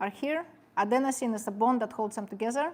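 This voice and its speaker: A woman with a non-native accent speaks at a very fast pace and a fairly high pitch. Her tone is animated, with ordinary pitch variation. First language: not English. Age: 50s. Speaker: personal trainer and sports nutritionist. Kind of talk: seminar talk. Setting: seminar with live audience.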